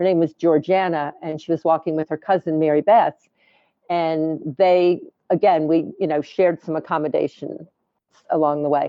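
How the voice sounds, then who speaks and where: Long, frequent pauses break up speech delivered at a moderate pace. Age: 60s. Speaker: pilgrim interviewee. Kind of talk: interview.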